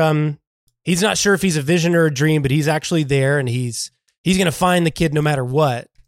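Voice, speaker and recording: In an unremarkable speaking voice, a fairly high-pitched man talks at a fairly quick pace, recorded dry and close with no echo on a very clean track with a silent background. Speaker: podcast host. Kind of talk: casual chat.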